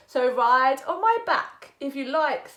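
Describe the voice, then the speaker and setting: A woman's put-on character voice, high-pitched, at a fairly slow pace. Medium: read story.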